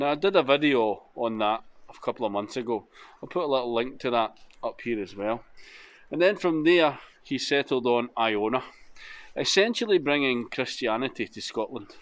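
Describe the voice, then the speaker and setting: With lively intonation, a man talks at a moderate pace. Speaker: motorcycle travel vlogger. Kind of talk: casual vlog chat. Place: open country. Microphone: phone near.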